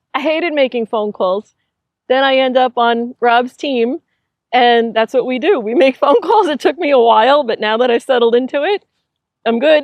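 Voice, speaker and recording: At a moderate pace, a woman talks in a high voice whose pitch varies in an ordinary way. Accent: Long Island. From Long Island, New York. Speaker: realtor. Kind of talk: casual interview chat. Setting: inside an RV.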